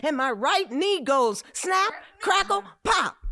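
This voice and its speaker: Using a raised, projected voice, a woman speaks at a very slow pace with very wide pitch swings. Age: 70s. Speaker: chef. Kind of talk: casual chat. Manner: animated.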